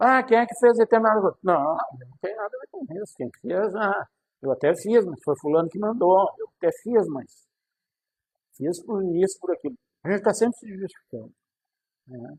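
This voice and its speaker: A man's high pitch and lively intonation, big swings in loudness, long, frequent pauses at a moderate pace, and a dry, close sound with no echo. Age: 60s. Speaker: self-help video host. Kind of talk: casual monologue to camera.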